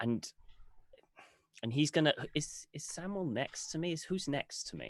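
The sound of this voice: Using lively intonation, a man talks at a moderate pace in a fairly high pitch.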